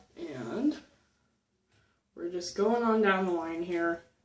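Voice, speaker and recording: Soft-spoken and fairly low-pitched, a woman talks at a very slow pace. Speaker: beauty vlogger. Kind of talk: tutorial. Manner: casual.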